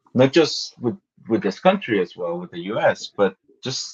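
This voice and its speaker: Speaking fairly slowly, a man with a Spanish accent uses lively intonation. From Guatemala. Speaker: graphic novelist. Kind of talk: interview. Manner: halting, many fillers and repetitions.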